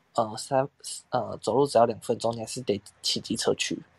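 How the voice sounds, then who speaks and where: A man's medium-pitched voice with a dry, close sound and no echo. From southern Taiwan, Tainan. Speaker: podcast co-host. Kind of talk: casual chat.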